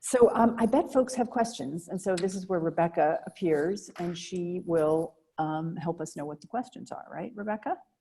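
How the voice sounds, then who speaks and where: In an ordinary speaking voice, a woman talks at medium pitch with an American accent and lively intonation. Her loudness swings widely, and she hardly pauses. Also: moderate pace. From Boston area, Massachusetts. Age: 60s. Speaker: novelist interviewer. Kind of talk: author conversation.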